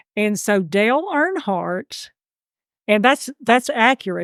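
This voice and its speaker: A woman with a Georgia accent talks very slowly at a medium pitch. The sound is dry and close with no echo, and the recording is very clean with a silent background. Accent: Southern (Georgia). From US South, Georgia. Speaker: amateur genealogist. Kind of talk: interview conversation.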